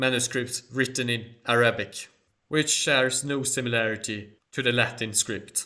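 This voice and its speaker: A man speaks with a Swedish accent at medium pitch. His tone is bright and sharp, his intonation monotone and flat. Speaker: history and culture YouTuber. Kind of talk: Q&A monologue.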